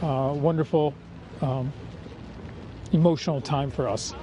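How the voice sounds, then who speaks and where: A man speaks at a moderate pace in a fairly high voice with fairly even intonation. There is noticeable background noise. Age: 60s. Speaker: member of public. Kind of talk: news vox pop.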